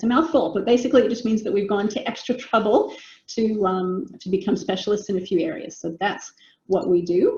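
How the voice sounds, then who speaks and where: A woman's medium-pitched, somewhat breathy voice, dark and mellow in tone, at a fairly quick pace with ordinary pitch variation. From United States. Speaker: business coach. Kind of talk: webinar presentation. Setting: video call.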